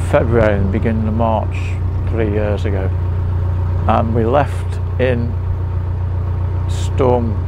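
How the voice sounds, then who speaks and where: Over noticeable background noise, a man with a fairly low pitch and fairly even intonation speaks in a dry sound with no echo. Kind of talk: casual vlog chat. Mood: amused storytelling. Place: boat.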